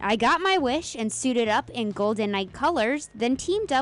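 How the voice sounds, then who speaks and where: With an unremarkable speaking voice, a woman talks at a moderate pace in a fairly high pitch with lively intonation. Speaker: TV news reporter. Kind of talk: first-person TV news feature narration.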